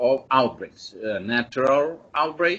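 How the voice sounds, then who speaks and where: Speaking very slowly, a man uses a Serbian accent. His pitch is medium, with ordinary variation. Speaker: epidemiology expert speaker. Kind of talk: webinar presentation. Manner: halting, many fillers.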